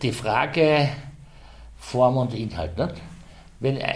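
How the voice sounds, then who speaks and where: A man talks at a very slow pace with vocal fry. Room echo is audible. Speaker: Slovene minority representative. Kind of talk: interview.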